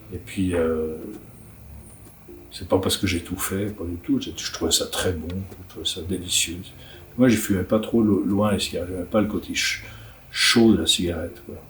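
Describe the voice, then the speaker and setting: Over music in the background, a man with a very deep, low voice talks at a moderate pace, his intonation fairly even, with long, frequent pauses and big swings in loudness. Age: 60s. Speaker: writer and illustrator. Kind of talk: interview answers. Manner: halting, many repetitions.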